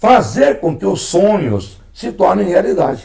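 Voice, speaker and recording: A man's dark, mellow voice with vocal fry, at a very slow pace and with very wide pitch swings. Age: 60s. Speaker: former mayor and broadcaster. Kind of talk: interview. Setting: at home.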